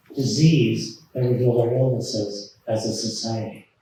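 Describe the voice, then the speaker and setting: There is audible room echo around the voice. A man speaks at a fairly slow pace. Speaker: professor and author. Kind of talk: lecture. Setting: stage with audience.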